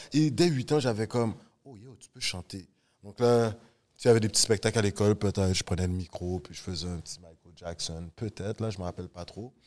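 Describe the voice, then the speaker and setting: A man speaks in a normal speaking voice at a fairly quick pace, his loudness swinging widely, on a very clean recording with a silent background. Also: fairly low pitch for a man, ordinary pitch variation. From Montreal, Canada. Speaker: podcast host, teacher. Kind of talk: casual chat, interview.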